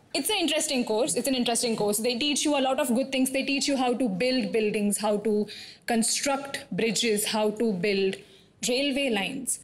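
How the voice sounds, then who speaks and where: Noticeable background noise sits behind a woman with a high pitch and ordinary pitch variation. She keeps a moderate pace at a very even loudness. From Thane, near Mumbai, India. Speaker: stand-up comedian. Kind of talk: stand-up.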